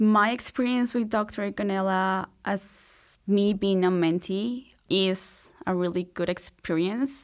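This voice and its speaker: On a very clean recording with a silent background, a woman speaks at a very slow pace and medium pitch, with ordinary pitch variation, very even loudness and hardly any pauses. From Colombia, Bogota. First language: Spanish. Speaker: PhD student. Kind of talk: interview.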